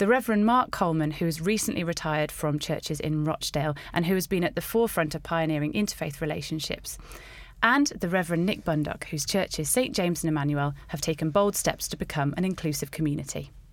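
Talking very fast, a woman uses a fairly low pitch with ordinary pitch variation. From English countryside. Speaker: podcast host. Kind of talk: panel discussion.

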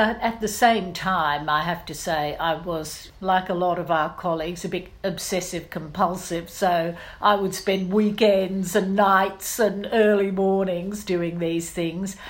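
Someone with an Australian accent speaks at a fairly slow pace with fairly even intonation and hardly any pauses. Audible room echo colors the recording. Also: woman, medium pitch for a woman. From Australia, Brisbane. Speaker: investigative journalist. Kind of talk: interview.

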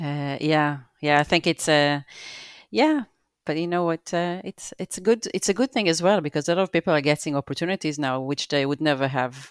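Speaking with an Israeli accent, a woman talks at a fairly quick pace in a very deep, low pitch with ordinary pitch variation. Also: very clean recording, silent background. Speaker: visual effects producer. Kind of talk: casual interview. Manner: halting, many fillers.

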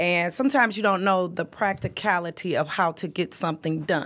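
A woman with an American accent speaks in a plain, everyday voice at a medium pitch, using ordinary pitch variation and a fairly quick pace, on a very clean recording with a silent background. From Detroit, Michigan, east side. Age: 40s. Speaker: podcast co-host. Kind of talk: casual chat. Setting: studio.

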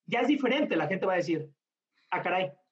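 The man speaks with a high pitch. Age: 30s. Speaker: bartender and brand ambassador. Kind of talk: interview conversation.

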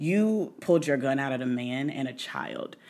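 In a very clean recording with a silent background, a woman with a very deep, low pitch speaks at a fairly slow pace with lively intonation. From Indianapolis, US Midwest. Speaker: podcast guest, friend of host. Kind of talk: casual chat.

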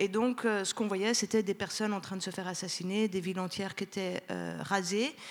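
A woman with a Turkish accent, medium pitch and fairly even intonation. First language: Turkish (speaking French). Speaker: sociologist. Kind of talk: panel discussion.

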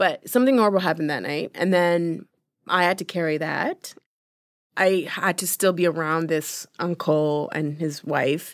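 In a normal speaking voice, a woman with a fairly low pitch talks at a moderate pace with ordinary pitch variation, recorded very cleanly against a silent background. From Uganda-born, raised in London, Ontario. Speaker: filmmaker, journalist and TV personality. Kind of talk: casual interview conversation. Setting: studio.

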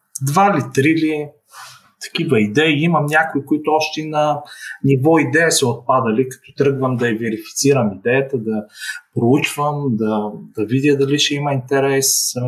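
A man with a somewhat breathy, fairly high voice talks at a fairly slow pace, his pitch varying in an ordinary way. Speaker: startup founder. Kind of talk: online interview.

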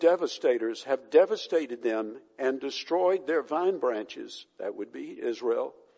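What you hear is an unforced reading voice.

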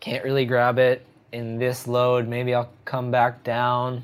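This man has an American accent. His pitch is medium. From New Jersey. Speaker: surf magazine editor. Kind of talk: interview.

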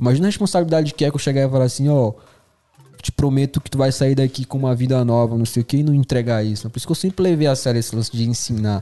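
Very fast speech from a man at medium pitch with ordinary pitch variation. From northern Brazil. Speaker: videomaker. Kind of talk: casual chat. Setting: studio.

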